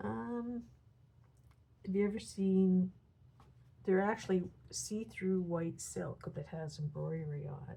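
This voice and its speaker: A soft-spoken woman at a fairly slow pace. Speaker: coloring hobbyist YouTuber. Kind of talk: casual tutorial narration while coloring. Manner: soft-spoken, hesitant with fillers.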